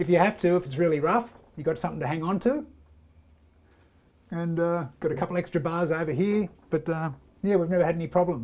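This man talks at a fairly quick pace with a fairly high pitch, ordinary pitch variation and a slightly mellow tone.

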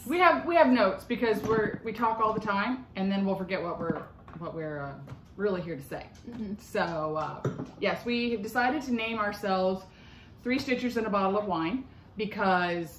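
A woman talks at a moderate pace with long, frequent pauses. Music plays in the background, and room echo is audible. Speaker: crafting vlog host. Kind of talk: casual vlog chat. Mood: friendly, slightly nervous, laughing. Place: kitchen. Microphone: phone near.

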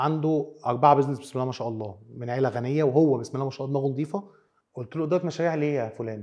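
The voice races at a very fast pace, with ordinary pitch variation and big swings in loudness. The background is quiet. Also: man. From Egypt. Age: 30s. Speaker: business trainer and consultant; business trainer. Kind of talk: tutorial. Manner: casual Arabic-English code-switching. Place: studio. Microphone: lapel.

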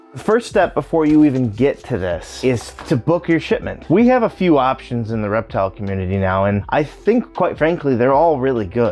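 Faint music plays in the background. A man talks over it at a fairly quick pace. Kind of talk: tutorial. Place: studio. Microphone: lapel.

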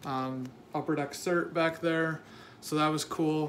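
A man speaks at a very slow pace with fairly even intonation over light background noise. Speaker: card collector vlogger. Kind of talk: casual vlog chat. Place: home room. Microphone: phone near.

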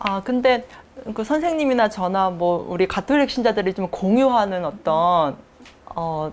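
The intonation of this woman is lively. She talks at a fairly slow pace. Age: young. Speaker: doctoral student in women's studies; interviewee. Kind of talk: interview answers; interview answer. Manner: measured, with fillers. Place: studio. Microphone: lapel.

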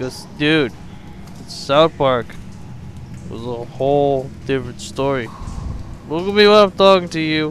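A man talks at a fairly slow pace with a fairly high pitch and ordinary pitch variation. Noticeable background noise fills the recording. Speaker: gaming let's player. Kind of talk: casual gameplay commentary. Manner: animated.

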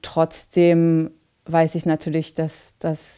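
A woman talks very slowly in a very deep, low voice with a dark, mellow tone and monotone, flat intonation, over a quiet background. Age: 40s. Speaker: climate activist. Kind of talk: testimony; interview answer. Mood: calm, reflective.

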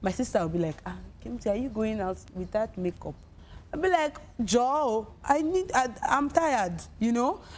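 A woman talks at a moderate pace in a Nigerian accent. Her pitch sits fairly high and swings very widely. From Nigeria, Delta State. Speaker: singer, talent show winner; talk show guest. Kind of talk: casual interview. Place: studio.

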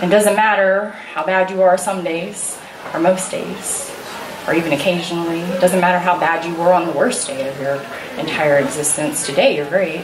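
Amid noticeable background noise, a woman speaks at a moderate pace with a fairly low pitch and ordinary pitch variation. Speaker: spoken word poet. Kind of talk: spoken word poetry performance. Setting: stage with audience. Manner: animated; warm, heartfelt. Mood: earnest, emotional, reassuring. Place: stage.

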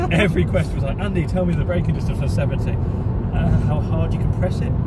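A man talks at a very fast pace in a dry recording with no echo, over loud background noise. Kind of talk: casual vlog chat. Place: car. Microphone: phone near.

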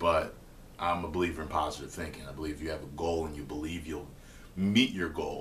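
Light background noise sits behind a man whose very deep, low voice moves at a fairly quick pace with fairly even intonation. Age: 30s. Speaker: online video host answering viewer questions. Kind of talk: casual advice monologue. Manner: casual, hesitant with fillers. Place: kitchen. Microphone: webcam.

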